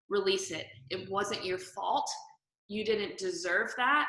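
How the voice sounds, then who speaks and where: The speaker has a Southern US accent and lively intonation. The pace is fairly slow. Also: woman. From US South. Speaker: interior photographer and stylist. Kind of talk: interview testimony.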